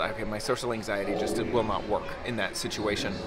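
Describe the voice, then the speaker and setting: A man talks at a moderate pace. Clear music sounds behind him. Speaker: travel vlogger. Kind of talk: casual vlog chat. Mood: chatty, slightly uneasy. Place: street. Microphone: phone near.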